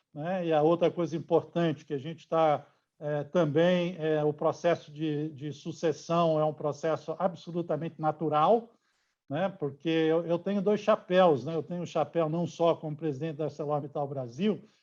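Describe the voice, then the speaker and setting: Speaking at a moderate pace in a fairly high pitch, a man keeps his intonation fairly even against a quiet background. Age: 60s. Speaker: steel company executive. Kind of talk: interview. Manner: hesitant, many fillers.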